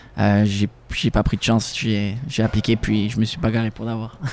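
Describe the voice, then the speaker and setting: A man speaks at a medium pitch and a moderate pace, his tone dark and mellow. His intonation stays monotone and flat. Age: 20s. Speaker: sommelier. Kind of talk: casual chat.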